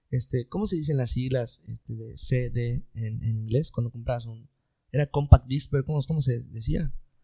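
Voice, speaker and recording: Speaking at a moderate pace, a man with a medium pitch, ordinary pitch variation, a dark, mellow tone and a somewhat breathy quality shows big swings in loudness, recorded with a dry, close sound and no echo. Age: 20s. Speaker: engineer. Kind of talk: casual chat.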